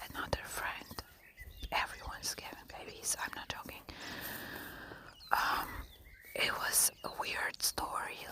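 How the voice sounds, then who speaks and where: A woman whispers at a fairly slow pace, with long, frequent pauses. Noticeable background noise is present. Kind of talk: ASMR whisper real talk, casual talk to camera. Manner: whispered, conversational.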